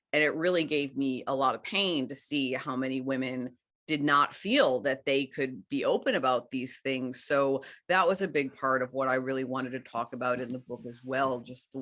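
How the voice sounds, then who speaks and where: The speaker has an American accent and talks at a moderate pace with fairly even intonation. The background is quiet. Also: woman, very deep, low pitch for a woman. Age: 50s. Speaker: author. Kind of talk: interview conversation.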